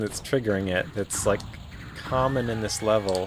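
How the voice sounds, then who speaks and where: The speech moves fairly quickly. There is noticeable background noise throughout. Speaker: game streamer. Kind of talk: casual commentary while playing a video game. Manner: casual, hesitant with many fillers and repetitions.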